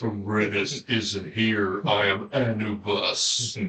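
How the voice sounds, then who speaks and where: The put-on character voice moves at a very slow pace. Light background noise sits under it. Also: man, fairly low pitch for a man. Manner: commanding, godlike.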